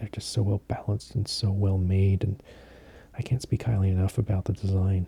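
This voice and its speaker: Soft-spoken and somewhat breathy, a man talks in a monotone, flat intonation with a dark, mellow tone, the sound dry and close with no echo. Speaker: fountain pen collector. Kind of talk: soft-spoken sleep aid talk.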